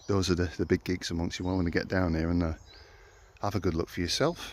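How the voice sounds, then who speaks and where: A man speaks with a Yorkshire accent at a very deep, low pitch. His intonation stays fairly even. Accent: Yorkshire twang. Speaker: local history explorer vlogger. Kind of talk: walking vlog narration. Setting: outdoors at ruins in woods. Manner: casual, halting with fillers.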